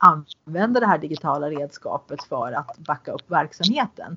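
In a plain, everyday voice, a woman speaks at a moderate pace with a fairly low pitch and lively intonation. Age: 50s. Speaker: podcast host. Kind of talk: interview. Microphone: poor sound quality.

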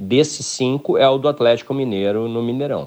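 A man uses a plain, everyday voice at a moderate pace with ordinary pitch variation. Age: 50s. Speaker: football club ex-director and commentator. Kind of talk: radio interview.

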